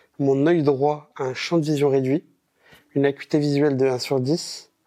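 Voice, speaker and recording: Over a quiet background, a man with a fairly high pitch and a dark, mellow tone speaks in monotone, flat intonation, with a dry, close sound with no echo. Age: 20s. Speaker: visually impaired moviegoer, university student. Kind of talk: testimony interview. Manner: casual, with hesitations.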